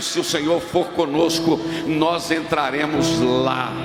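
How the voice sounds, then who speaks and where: A high-pitched man's voice is heard with audible room echo and noticeable background noise. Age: 60s. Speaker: pastor. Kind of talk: sermon. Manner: animated.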